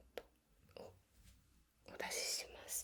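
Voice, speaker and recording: A woman talks in a soft-spoken, calm tone. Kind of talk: ASMR role-play, healing session.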